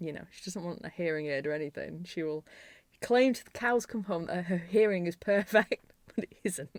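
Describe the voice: With a Yorkshire accent, a woman talks at a fairly low pitch with ordinary pitch variation. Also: moderate pace. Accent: Yorkshire, northern English.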